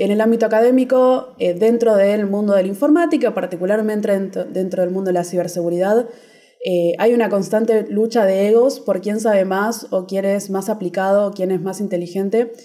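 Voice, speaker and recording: A woman in an unremarkable speaking voice, with a medium pitch, ordinary pitch variation and a moderate pace. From Argentina. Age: 20s. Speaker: security researcher and computer science student. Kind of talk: casual interview.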